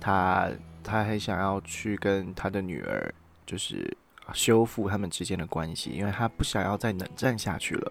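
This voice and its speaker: Here a man speaks at a moderate pace with a fairly low pitch. The recording is very clean, with a silent background. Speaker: podcast host. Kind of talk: casual solo chat. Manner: talkative, animated.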